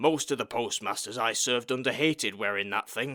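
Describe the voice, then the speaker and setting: Raspy, put-on character voice from a man at medium pitch, fairly quick, with ordinary pitch variation, on a very clean recording with a silent background. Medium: read story. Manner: resigned, world-weary.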